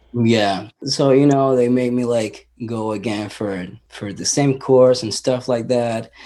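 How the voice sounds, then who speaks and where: Speaking very slowly, a man with a Spanish accent has a medium-pitched, dark, mellow tone and fairly even intonation. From Venezuela. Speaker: punk musician. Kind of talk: interview.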